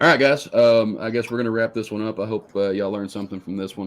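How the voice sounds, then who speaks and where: A man with a Texan accent talks at a very fast pace in a fairly low pitch, his pitch rising and falling in an ordinary way. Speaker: outdoors podcast host. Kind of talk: casual chat.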